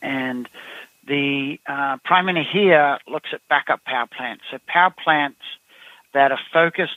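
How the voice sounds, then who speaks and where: In an Australian accent, a man with a fairly high voice speaks at a moderate pace. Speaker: company CEO. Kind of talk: interview. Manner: halting, many fillers.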